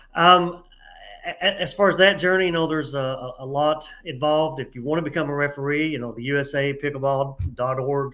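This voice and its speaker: With a Southern US accent, a man talks at a fairly quick pace in a fairly high pitch, his tone bright and sharp and his intonation fairly even. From US South, East Tennessee. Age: 60s. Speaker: pickleball referee. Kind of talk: interview.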